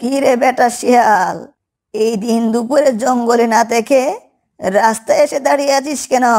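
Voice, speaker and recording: This cartoonish character voice sits at a fairly high pitch and moves at a moderate pace. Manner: homely, scolding.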